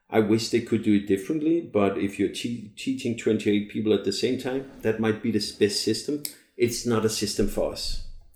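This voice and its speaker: The speaker has a Danish accent and a fairly even intonation. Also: man, medium pitch for a man, moderate pace. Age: 40s. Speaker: long-term traveling parent. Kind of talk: casual chat.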